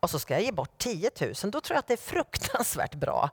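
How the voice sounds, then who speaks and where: Recorded very cleanly over a silent background with a dry, close sound and no echo, a woman speaks with very wide pitch swings. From Sweden, Norrköping. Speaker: guest preacher. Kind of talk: sermon. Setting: church.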